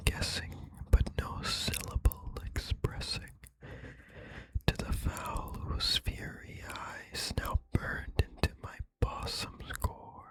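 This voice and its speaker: Whispering in a calm tone at a very slow pace, the voice sits over noticeable background noise. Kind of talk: whispered ASMR poetry reading. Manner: whispered, calm, relaxing.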